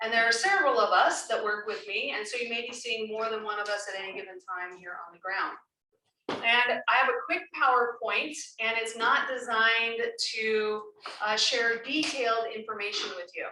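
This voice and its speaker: A woman with a bright, sharp tone speaks at a fairly high pitch and a moderate pace, with ordinary pitch variation. There is audible room echo. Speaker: professional facilitator. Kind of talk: public meeting facilitation. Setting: community meeting room, recorded on Zoom.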